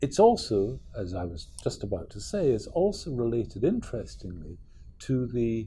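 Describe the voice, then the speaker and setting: A man's dark, mellow voice at medium pitch moves at a fairly slow pace, with very wide pitch swings and vocal fry. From Scotland. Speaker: professor. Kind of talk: lecture.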